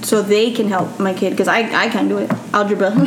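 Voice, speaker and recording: Amid noticeable background noise and audible room echo, a woman talks at a moderate pace with a medium pitch. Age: 20s. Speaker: parent of five. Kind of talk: casual chat.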